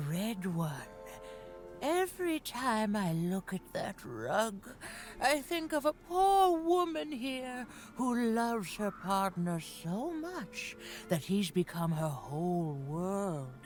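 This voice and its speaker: Putting on a character voice, a woman talks at a medium pitch and a very slow pace with very wide pitch swings, with clear music in the background. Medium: video game. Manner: cryptic, coaxing.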